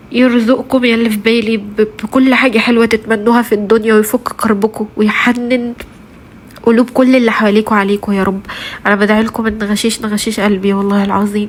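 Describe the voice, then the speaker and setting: A woman speaks fairly quickly with an Egyptian accent in a fairly high voice. Her intonation is monotone and flat, and there is noticeable background noise. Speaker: vlogger, mother of three. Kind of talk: casual vlog talk to viewers. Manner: halting, many fillers.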